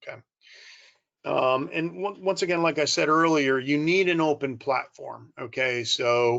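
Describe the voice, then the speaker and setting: A man with an American accent and a normal speaking voice talks at a fairly slow pace. His pitch is fairly high, with ordinary variation. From United States. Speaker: corporate strategy executive. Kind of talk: conference presentation.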